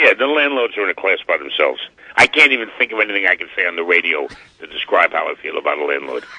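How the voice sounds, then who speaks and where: Very fast speech in a New York accent over noticeable background noise. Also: man. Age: 70s. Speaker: butcher and cabaret singer. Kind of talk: radio interview. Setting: phone call. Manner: animated.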